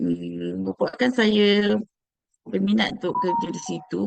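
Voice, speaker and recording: Fairly slow speech with a Malaysian accent. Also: woman. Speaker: HR and finance staff. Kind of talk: interview. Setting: video call. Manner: halting.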